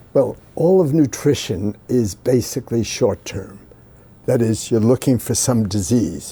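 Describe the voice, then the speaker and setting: This man has a dark, mellow tone that is somewhat breathy. His intonation is lively, his pace fairly slow and his loudness very even. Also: medium pitch for a man. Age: 80s+. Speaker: scientist. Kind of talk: interview. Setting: sitting with interviewer in person. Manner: halting, with fillers.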